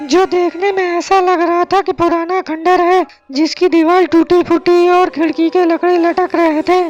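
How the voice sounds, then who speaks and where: With music in the background, a cartoonish character voice at an extremely high pitch speaks at a moderate pace in a monotone, flat intonation. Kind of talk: horror narration for kids. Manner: dramatic, suspenseful.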